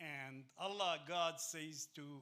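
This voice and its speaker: With an Arabic accent, a man speaks in a fairly high pitch with ordinary pitch variation. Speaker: teacher. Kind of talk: lecture. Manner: halting, many fillers.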